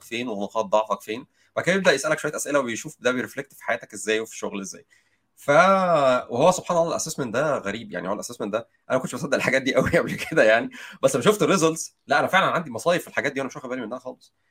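A man's medium-pitched voice at a very fast pace, with lively intonation and big swings in loudness. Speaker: software engineer. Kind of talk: casual chat.

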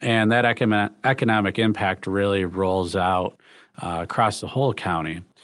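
With an American accent and an ordinary speaking voice, a man talks at a moderate pace in a fairly low pitch with fairly even intonation against a quiet background. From Michigan, the Thumb region. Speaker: hospital CEO and physician. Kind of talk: interview. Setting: video call.

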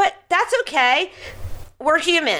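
A woman with an American accent uses a raised, projected voice with a bright, sharp tone and very wide pitch swings. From Philadelphia. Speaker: radio host and parenting expert. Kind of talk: radio talk show. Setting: studio.

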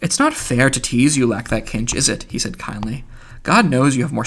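Natural reading voice of the speaker

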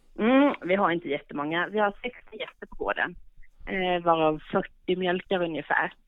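A woman's plain, everyday voice at a medium pitch, moderate pace and ordinary pitch variation. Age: 40s. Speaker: goat farmer. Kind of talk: interview. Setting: phone call.

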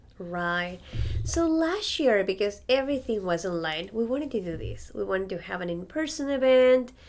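Speaking at a moderate pace with a Spanish accent, a woman with a medium pitch makes very wide pitch swings. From Ecuador, Andes. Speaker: violinist. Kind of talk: interview.

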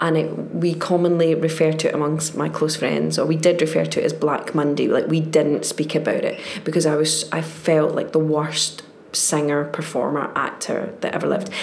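Someone speaks at a moderate pace in a Glaswegian accent, with noticeable background noise and audible room echo. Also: woman. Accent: Glaswegian Scottish. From Scotland, Glasgow. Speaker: actress. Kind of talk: casual chat.

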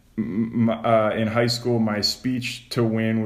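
Audible room echo surrounds this man's voice. He holds a medium pitch in a monotone, flat intonation. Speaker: podcast host. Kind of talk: casual chat.

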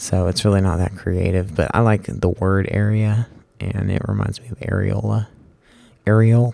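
A man with a fairly low pitch and a dark, mellow tone speaks at a moderate pace with fairly even intonation. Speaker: solo podcaster. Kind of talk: casual monologue. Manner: halting, many fillers.

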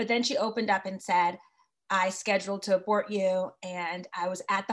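With an American accent, the speaker uses a normal speaking voice at a moderate pace. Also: woman. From Connecticut. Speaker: communications director of advocacy group. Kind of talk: interview.

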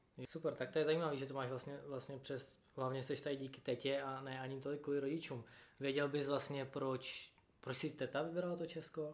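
Here a man talks at a moderate pace. His fairly high voice stays monotone and flat. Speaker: podcast host. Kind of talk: casual interview.

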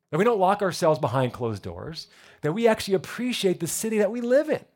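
On a very clean recording with a silent background, a man with an American accent talks at a fairly quick pace, his pitch swinging very widely. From New Jersey. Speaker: pastor. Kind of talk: sermon. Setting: church.

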